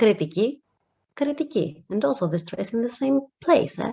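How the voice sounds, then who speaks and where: With a dark, mellow tone, a woman speaks at a moderate pace, her pitch swinging very widely. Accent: Greek. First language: Greek. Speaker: language teacher. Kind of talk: lecture.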